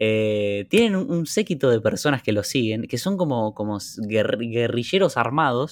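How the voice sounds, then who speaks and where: Delivered in an unremarkable speaking voice, the speech moves at a fairly slow pace with lively intonation. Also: man, medium pitch for a man. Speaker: podcast co-host. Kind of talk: casual chat. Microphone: new microphone.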